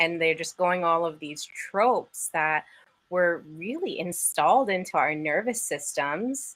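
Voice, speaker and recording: Speaking at a fairly slow pace and a fairly low pitch, a woman has an ordinary speaking voice. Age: 40s. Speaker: podcast host. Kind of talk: live stream interview.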